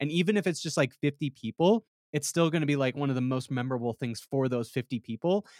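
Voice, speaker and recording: This man has an unremarkable speaking voice, fairly high in pitch and fairly quick, captured in a very clean recording with a silent background and a dry, close sound with no echo. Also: ordinary pitch variation. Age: 20s. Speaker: podcast co-host. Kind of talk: casual chat.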